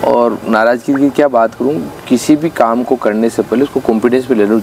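A man talks with ordinary pitch variation over light background noise. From Rajasthan, Chittorgarh district; Rajasthan, India. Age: 40s. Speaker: politician; local politician. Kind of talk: interview. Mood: aggrieved, earnest. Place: garden.

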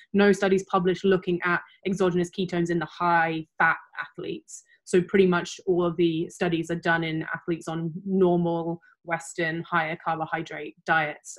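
A woman speaks at a moderate pace with a fairly low pitch. Her intonation is monotone and flat against a quiet background. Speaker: guest. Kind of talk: interview answer. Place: home room.

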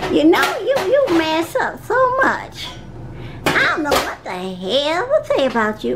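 At a fairly slow pace, a woman with an extremely high pitch speaks over clear background noise. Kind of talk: comic domestic sketch acting. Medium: comedy sketch. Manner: scolding, exasperated but affectionate.

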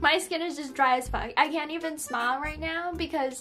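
Faint music plays behind a woman whose high-pitched voice is raised and projected, her intonation fairly even. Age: young. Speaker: beauty vlogger. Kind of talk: casual talk to camera. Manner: casual, chatty. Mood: relaxed, chatty. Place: home room. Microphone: phone near.

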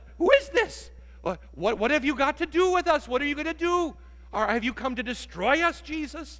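A man's squeaky, put-on character voice, extremely high in pitch, at a moderate pace. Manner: shocked, fearful.

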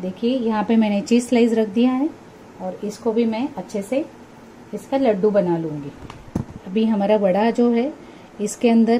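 A woman talks at a fairly slow pace with ordinary pitch variation. Her pauses are long and frequent, over light background noise. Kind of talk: cooking tutorial. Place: kitchen. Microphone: phone near.

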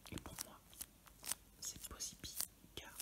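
Someone whispers at a fairly slow pace. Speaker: card collector. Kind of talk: ASMR card opening. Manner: whispered. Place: home room.

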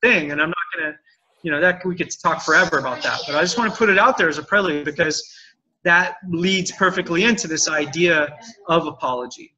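Ordinary pitch variation with light background noise. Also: man. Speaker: communication trainer, interview guest. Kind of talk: interview answer. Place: home room. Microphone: video call.

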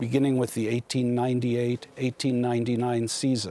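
A man speaks in a dark, mellow tone. The sound is dry, with no echo. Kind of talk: interview answer. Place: hall. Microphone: lapel.

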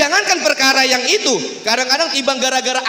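Against a quiet background with audible room echo, a man uses a raised, projected voice at an extremely high pitch. He speaks at a fairly quick pace with an animated tone and ordinary pitch variation. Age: young. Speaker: religious preacher. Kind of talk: sermon. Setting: mosque with audience. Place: hall. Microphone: handheld.

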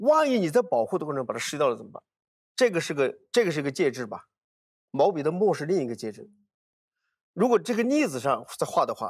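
A man talks fairly quickly against a quiet background. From Hunan, Hunan-Jiangxi border area; Hunan. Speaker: archaeologist; guest. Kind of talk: casual chat. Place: studio. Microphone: lapel.

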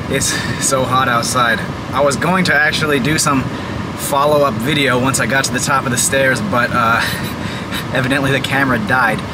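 Loud background noise behind a man's voice. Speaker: vlogger. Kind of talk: casual vlog chat. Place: car. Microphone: lapel.

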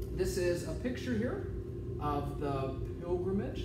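Loud background noise and audible room echo surround a man's voice. He speaks at a fairly slow pace. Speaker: teacher or presenter. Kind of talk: lecture. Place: classroom. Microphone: camera far.

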